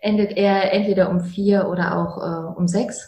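A woman speaks at a medium pitch with a dark, mellow tone, a somewhat breathy quality and fairly even intonation. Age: 30s. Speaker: chemical engineer and plant manager. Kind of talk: interview conversation. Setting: in-person in coaching rooms.

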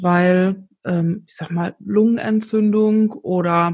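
A somewhat breathy woman speaks in a monotone, flat intonation over a quiet background. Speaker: podcast host. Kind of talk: casual interview. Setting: remote recording.

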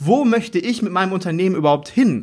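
Over a very clean recording with a silent background, a man moves at a fairly quick pace with very wide pitch swings. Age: 30s. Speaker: former chef, hospitality consultant. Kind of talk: interview answer.

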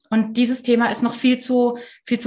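A woman's somewhat breathy voice. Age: 30s. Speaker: founder of a working-mothers initiative. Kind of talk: casual interview.

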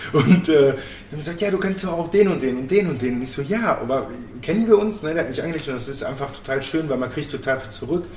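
Over noticeable background noise and audible room echo, a man talks very fast with a fairly high pitch and lively intonation. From Germany, Bochum (Ruhr area). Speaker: youth education worker. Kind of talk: casual chat. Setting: café.

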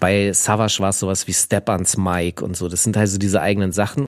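Speaking in a very deep, low pitch, a man keeps fairly even intonation at a moderate pace. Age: 40s. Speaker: podcast co-host. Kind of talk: casual chat.

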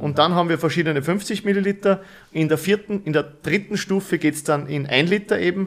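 High pitch from a man at a fairly quick pace, ordinary pitch variation, very clean recording and silent background. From Upper Austria. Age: 30s. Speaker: company managing director. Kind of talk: interview. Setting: studio.

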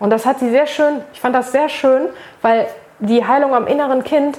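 Noticeable background noise sits behind a woman speaking at a moderate pace. Her high voice keeps a fairly even intonation. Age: 30s. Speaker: social media manager and make-up artist. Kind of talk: casual interview conversation.

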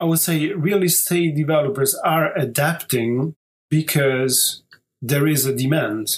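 In an Italian accent, a man speaks at a fairly slow pace with a fairly high pitch, ordinary pitch variation and very even loudness. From southern Italy. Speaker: architect. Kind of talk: interview.

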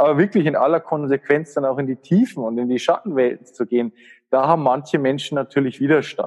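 Speaking at a fairly quick pace in a Bavarian accent, a man uses a fairly high pitch with ordinary pitch variation. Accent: Bavarian, warm. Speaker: spiritual coach and healer. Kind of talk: casual interview conversation.

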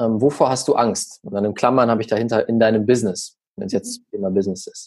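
Man with an ordinary speaking voice, medium pitch, fairly quick pace, quiet background. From Germany, small village. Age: young. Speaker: social media marketing expert. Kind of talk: podcast interview.

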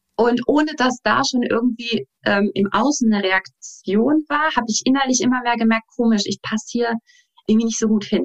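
A woman's normal speaking voice, fairly high in pitch with ordinary variation, at a moderate pace in a dry, close sound with no echo. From Saarland, Germany. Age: 30s. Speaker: dance teacher and life coach. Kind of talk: interview.

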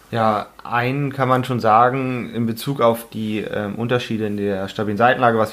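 A man keeps a monotone, flat intonation at a medium pitch, speaking at a moderate pace. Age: 20s. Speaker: anaesthetist and first aid instructor. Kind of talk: educational podcast discussion.

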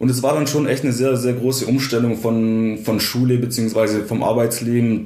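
A man speaks at a moderate pace and medium pitch, his intonation monotone and flat. Audible room echo and noticeable background noise surround him. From Swabia, Germany (Swabian Alb). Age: 20s. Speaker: engineering student. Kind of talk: casual interview. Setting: in-person, sitting across from host.

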